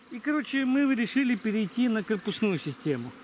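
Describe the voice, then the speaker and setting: A moderate pace, light background noise, and a dry sound with no echo. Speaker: beekeeper host. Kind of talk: interview answer. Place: open country. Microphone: phone near.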